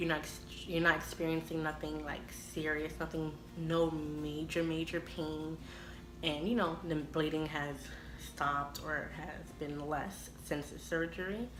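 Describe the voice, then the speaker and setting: A woman speaks in a very deep, low voice with monotone, flat intonation at a fairly slow pace. Audible room echo and noticeable background noise are in the recording. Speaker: vlogger. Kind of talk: personal vlog.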